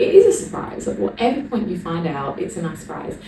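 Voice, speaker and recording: With an English accent, the speaker talks at a fairly quick pace amid audible room echo and noticeable background noise. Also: woman. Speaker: vlogger, personal trainer. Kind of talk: casual vlog to camera.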